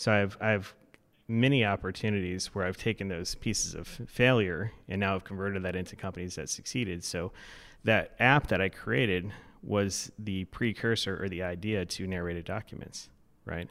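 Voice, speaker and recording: On a very clean recording with a silent background, a man with an American accent and an unremarkable speaking voice speaks at a moderate pace and fairly low pitch, his intonation fairly even. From Florida. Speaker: startup CEO, serial entrepreneur. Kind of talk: interview. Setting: studio.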